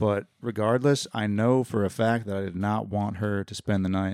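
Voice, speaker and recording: A man speaks at a moderate pace with a fairly low pitch and fairly even intonation, a plain, everyday voice on a very clean recording with a silent background. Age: 30s. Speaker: roommate of the host. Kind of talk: casual chat.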